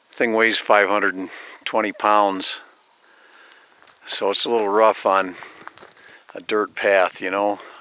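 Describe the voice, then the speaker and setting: Over noticeable background noise, a man speaks fairly slowly in a fairly low pitch. His intonation is monotone and flat, with long, frequent pauses. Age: 60s. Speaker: vlogger. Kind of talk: casual monologue vlog. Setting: outdoors on a mountain road. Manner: hesitant, many repetitions and fillers.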